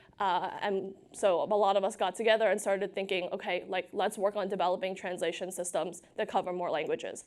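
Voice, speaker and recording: The speech runs at a fairly quick pace with hardly any pauses and a monotone, flat intonation. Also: woman, medium pitch for a woman. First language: unwritten native language, English is third. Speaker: AI research scientist. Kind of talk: conference talk. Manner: casual, filler-heavy.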